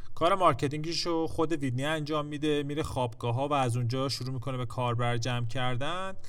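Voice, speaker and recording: Speaking at a very fast pace, a man with a fairly high pitch and ordinary pitch variation is heard over audible room echo. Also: hardly any pauses. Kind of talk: scripted narration.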